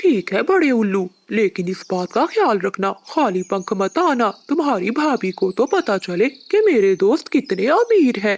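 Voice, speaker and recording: A cartoonish character voice with a fairly high pitch moves at a moderate pace with hardly any pauses. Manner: sly, theatrical.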